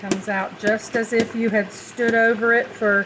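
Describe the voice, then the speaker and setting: A woman with a Southern US accent, her pitch fairly high and her intonation flat and monotone, at a fairly slow pace over noticeable background noise. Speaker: home cook and meal-prep business owner. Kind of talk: cooking tutorial. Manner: casual, conversational.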